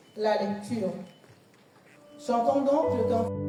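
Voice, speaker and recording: A woman at a very slow pace, amid audible room echo and noticeable background noise. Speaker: worship leader. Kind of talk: church service announcements. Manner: halting.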